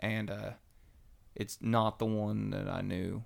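A man with a Kentucky accent on a very clean recording with a silent background. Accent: US Southern (Kentucky). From Western Kentucky. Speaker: church member sharing testimony. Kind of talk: testimony.

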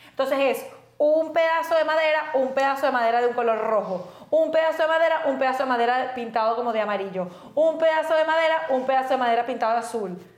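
A woman speaks very fast in a high voice with ordinary pitch variation, over noticeable background noise. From Venezuela, raised in Valencia. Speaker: podcast co-host. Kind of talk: casual chat.

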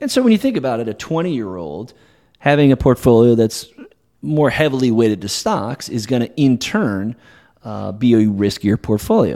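Heard against a silent background in a very clean recording, the voice has a dark, mellow tone, ordinary pitch variation and a moderate pace. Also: man, medium pitch for a man. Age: 40s. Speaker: wealth manager. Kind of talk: casual chat. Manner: halting.

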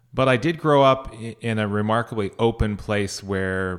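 With a Californian accent, a man talks at a moderate pace, his fairly low pitch showing ordinary variation. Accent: Californian American. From northern California, Sierra Nevada foothills. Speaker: mayoral candidate and conflict resolution mediator. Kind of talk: interview.

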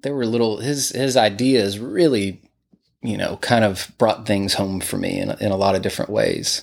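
A man with a Texas accent talks at a medium pitch. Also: ordinary pitch variation, moderate pace. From Texas, Greenville. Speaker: musician and studio owner. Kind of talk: interview. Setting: his home music room.

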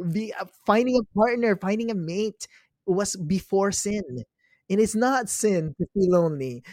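The sound is dry and close, with no echo. Pitch varies in an ordinary way, and the pace is fairly slow. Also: man, high pitch for a man. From Philippines. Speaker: travel photographer and humanitarian. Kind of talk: casual interview. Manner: halting, repeats words.

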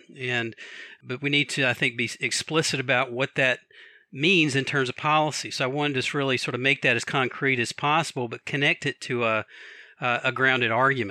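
With an American accent, a man talks at a fairly quick pace in a bright, sharp tone with fairly even intonation. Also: medium pitch for a man, dry, close sound with no echo, very clean recording, silent background. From Atlanta, Georgia, US South. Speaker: professor and author. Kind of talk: academic interview.

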